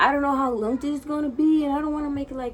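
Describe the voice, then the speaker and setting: This woman speaks in a Spanish accent. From Dominican Republic, Santo Domingo. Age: 20s. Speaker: vlogger. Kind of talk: casual vlog monologue. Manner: nervous, filler-heavy (frequent 'like').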